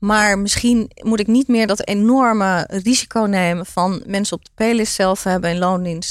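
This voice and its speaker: With an unremarkable speaking voice, a woman talks at a moderate pace and medium pitch with fairly even intonation and hardly any pauses on a very clean recording with a silent background. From Netherlands, Turkish migrant family. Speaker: entrepreneur. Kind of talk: interview.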